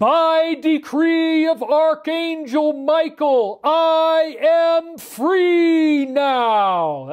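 This is a put-on character voice at a high pitch. It moves at a very slow pace. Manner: dramatic, heroic.

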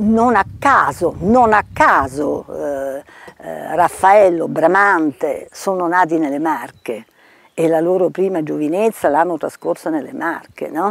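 Against a quiet background, a woman speaks very slowly at a fairly low pitch with lively intonation, in a dry sound with no echo. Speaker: retired architect and heritage official. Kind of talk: interview testimony. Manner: halting. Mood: warm, reflective. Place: garden.

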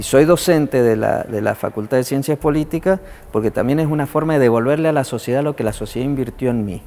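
Very fast speech from a man, fairly high in pitch and with ordinary pitch variation. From Argentina, General Alvear (Mendoza); Mendoza, Argentina. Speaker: politician and university lecturer; politician, university lecturer. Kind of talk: interview testimony. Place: hall. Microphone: lapel.

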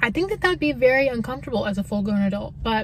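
A woman at a very fast pace, in a dry sound with no echo over light background noise. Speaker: car-life vlogger. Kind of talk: casual vlog chat. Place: car. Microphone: phone near.

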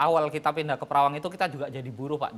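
Ordinary pitch variation from a male speaker. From Medan, North Sumatra, Indonesia; North Sumatra, Indonesia. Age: 40s. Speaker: farmer; guest. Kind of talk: TV talk show interview; speech. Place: studio. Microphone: lapel.

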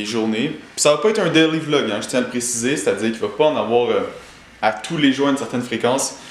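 A man talks at a fairly quick pace. Audible room echo and light background noise surround his voice. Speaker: vlogger. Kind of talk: casual vlog chat. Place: home room. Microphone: phone near.

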